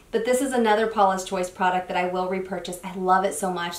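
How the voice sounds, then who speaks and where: A woman talks at a very fast pace with fairly even intonation. Noticeable background noise and audible room echo come through. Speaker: beauty youtuber. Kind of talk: product review. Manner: casual, chatty.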